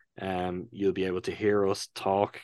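A man with an Irish accent at a fairly slow pace, in a dry, close sound with no echo against a quiet background. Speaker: podcast co-host. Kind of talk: casual chat.

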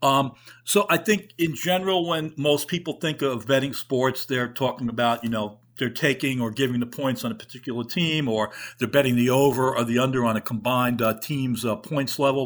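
Someone talks fairly quickly with a New York accent and ordinary pitch variation. The recording is very clean, with a silent background. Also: man. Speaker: podcast host and reporter. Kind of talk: interview, host questions.

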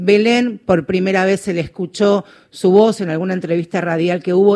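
Her tone is dark and mellow, at medium pitch for a woman. She keeps a moderate pace and fairly even intonation. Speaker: radio host. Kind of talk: radio interview.

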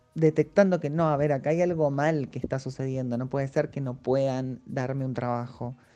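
With music in the background, a woman's very deep, low voice moves at a moderate pace and keeps fairly even intonation. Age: 30s. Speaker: actress and English teacher. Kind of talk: interview testimony. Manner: halting.

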